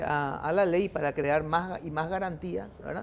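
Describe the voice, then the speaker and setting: A woman with a dark, mellow tone speaks fairly slowly. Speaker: TV talk show host. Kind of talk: political panel discussion.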